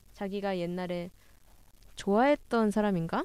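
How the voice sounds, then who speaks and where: In a very clean recording with a silent background, a woman speaks in a dark, mellow tone at medium pitch with ordinary variation. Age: 20s. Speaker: webtoon fan community staff, co-host. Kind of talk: casual chat.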